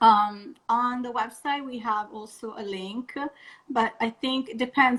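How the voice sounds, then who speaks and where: Speaking with a non-native accent, a woman delivers her words. Her pitch moves with ordinary variation. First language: not English. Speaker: vegan wedding blogger. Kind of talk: interview on a live stream. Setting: Instagram live video call.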